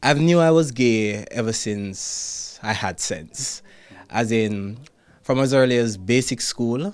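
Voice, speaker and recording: A man with a Jamaican accent talks very slowly at a medium pitch with ordinary pitch variation. The recording is very clean, with a silent background. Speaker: ballet dancer. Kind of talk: interview answer.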